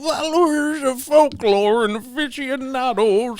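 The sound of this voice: A put-on character voice with high pitch speaks at a fairly slow pace.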